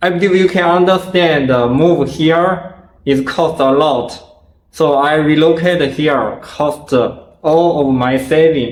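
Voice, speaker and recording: With a non-native accent, a man speaks slowly-ish in a fairly high pitch, keeping his loudness very even and his intonation fairly even, amid audible room echo. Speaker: martial arts video creator. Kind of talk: Q&A interview. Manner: halting.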